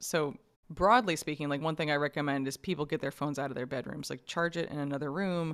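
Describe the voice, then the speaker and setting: In an American accent, the speaker talks at a very fast pace with ordinary pitch variation on a very clean recording with a silent background. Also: woman. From New York. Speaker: science journalist and author. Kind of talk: casual interview.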